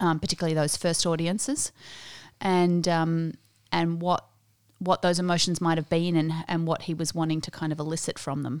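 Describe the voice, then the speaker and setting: An Australian woman with a fairly low pitch speaks at a moderate pace in a monotone, flat intonation, on a very clean recording with a silent background. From Australia, earlier South Africa. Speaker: New Testament lecturer. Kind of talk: interview.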